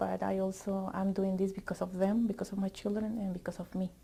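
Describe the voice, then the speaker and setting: A woman with a medium pitch speaks at a moderate pace in a monotone with flat intonation. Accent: Spanish. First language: Spanish. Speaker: teacher education student. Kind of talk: interview testimony. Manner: halting.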